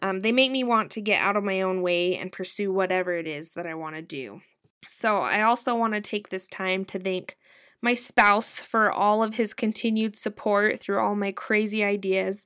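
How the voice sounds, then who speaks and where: Recorded very cleanly with a silent background, a woman uses an ordinary speaking voice at medium pitch, with fairly even intonation and a moderate pace. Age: 30s. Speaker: podcast host. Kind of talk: casual chat.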